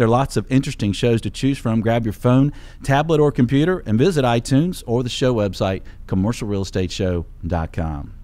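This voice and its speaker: Lively intonation rides on a dark, mellow tone at a moderate pace. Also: man. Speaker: show host. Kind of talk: radio show host introduction. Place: studio. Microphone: studio mic.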